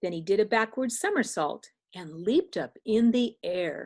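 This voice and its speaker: A woman speaks fairly slowly with a warm, gentle tone. Her fairly high voice moves through very wide pitch swings. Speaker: children's read-aloud teacher / grandmother figure. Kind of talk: rhyming story narration. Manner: warm, gentle, engaging.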